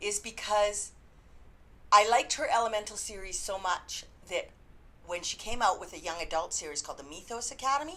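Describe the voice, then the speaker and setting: A woman with a Canadian accent and a fairly high, bright, sharp voice talks at a fairly quick pace, with very wide pitch swings, big swings in loudness, and long, frequent pauses. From Canada. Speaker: book reviewer. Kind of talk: casual review vlog. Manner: chatty, informal.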